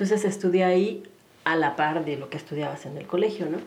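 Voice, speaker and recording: A woman at a fairly quick pace, ordinary pitch variation, audible room echo around her. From Mexico City. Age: 40s. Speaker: human development consultant and yoga instructor. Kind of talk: casual interview.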